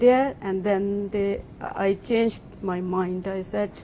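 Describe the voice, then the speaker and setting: A woman's medium-pitched voice with a non-native accent, monotone and flat, at a very slow pace. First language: not English. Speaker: job-seeking programme participant. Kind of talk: interview about personal story. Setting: live broadcast event in an office. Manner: halting, many fillers.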